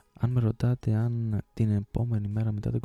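A man with a dark, mellow tone and medium pitch talks at a moderate pace in a monotone, flat intonation, recorded with a dry, close sound and no echo. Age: 20s. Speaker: podcast host. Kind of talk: personal monologue.

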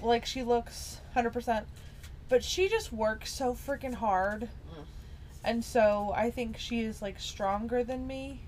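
Amid noticeable background noise, a woman with an American accent speaks at a very slow pace. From small-town US South. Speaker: podcast co-host. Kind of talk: casual chat.

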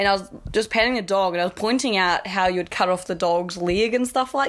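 A woman with a New Zealand accent speaks at a fairly quick pace and medium pitch, her intonation lively, with noticeable background noise behind her. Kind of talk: casual chat. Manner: casual, swears a lot, laughs often.

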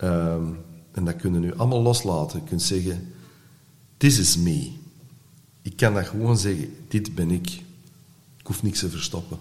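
A somewhat breathy man with a very deep, low pitch, lively intonation and a moderate pace, long and frequent pauses, and audible room echo. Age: 60s. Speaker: artist and actor in recovery. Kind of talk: podcast interview. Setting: studio.

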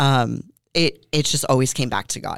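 On a very clean recording with a silent background, a woman with an American accent speaks at a moderate pace in a very deep, low voice with fairly even intonation. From Southern California. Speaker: gym owner and bodybuilder. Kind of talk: interview about personal story.

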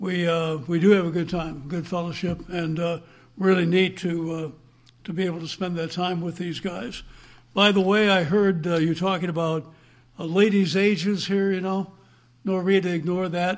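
Monotone, flat intonation at a moderate pace. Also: man, high pitch for a man. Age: 70s. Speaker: evangelist. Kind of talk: sermon. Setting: church.

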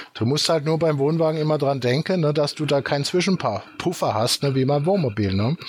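A man with a fairly high pitch talks at a fairly quick pace with hardly any pauses and very even loudness. His pitch variation is ordinary, and there is noticeable background noise. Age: 50s. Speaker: company founder. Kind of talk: casual chat.

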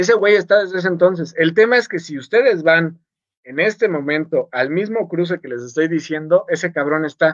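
Pitched high, a man talks at a fairly quick pace with ordinary pitch variation and big swings in loudness. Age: 30s. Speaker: podcast co-host. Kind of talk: casual chat. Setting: live stream. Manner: animated.

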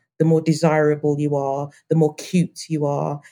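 Very deep and low, a woman's voice moves at a moderate pace in a monotone, flat intonation. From Birmingham, England. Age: 30s. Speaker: anti-racism early years consultant. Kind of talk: panel discussion.

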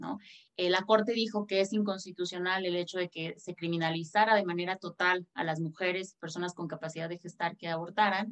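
This woman has an ordinary speaking voice at medium pitch. She talks at a fairly quick pace with fairly even intonation. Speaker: lawyer. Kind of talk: panel discussion.

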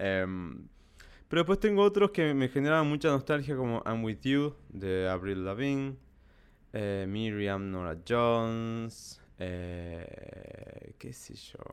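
Very slow, medium-pitched male speech with lively intonation and big swings in loudness, on a very clean recording with a silent background. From Salta, northern Argentina. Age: 30s. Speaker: podcaster. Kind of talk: solo podcast monologue.

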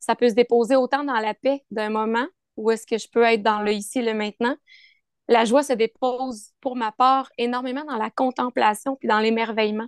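A woman speaks at a moderate pace with a fairly high pitch and a flat, monotone delivery. The sound is dry and close with no echo, over a quiet background. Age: 30s. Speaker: yoga teacher. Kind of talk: casual chat.

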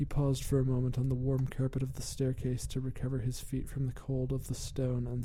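Speaking at a moderate pace, the man has a dark, mellow, somewhat breathy tone and a monotone, flat delivery. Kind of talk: gothic horror narration, scripted story read aloud. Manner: formal and ornate, grave, brooding tone.

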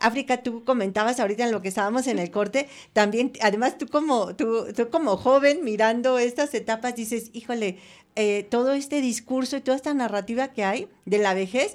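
A high-pitched woman at a moderate pace with ordinary pitch variation, on a very clean recording with a silent background. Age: 60s. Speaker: radio host. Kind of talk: radio talk show. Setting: radio studio.

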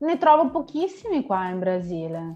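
Over music in the background, a woman talks at a moderate pace, her pitch swinging very widely. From northeast Italy, Vicenza. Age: 30s. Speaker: Italian teacher. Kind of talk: casual chat.

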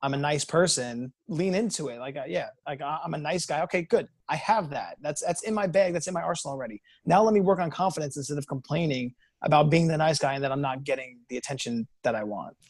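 A man's animated, somewhat breathy voice at a very fast pace, fairly high in pitch with ordinary pitch variation. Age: 30s. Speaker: dating coach. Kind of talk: casual chat.

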